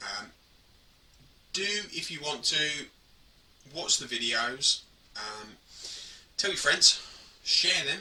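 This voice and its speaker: In an English accent, a man with a fairly high pitch speaks at a very slow pace with lively intonation, long and frequent pauses, big swings in loudness, and noticeable background noise. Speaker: hobby gaming vlogger. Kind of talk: casual vlog talk to camera.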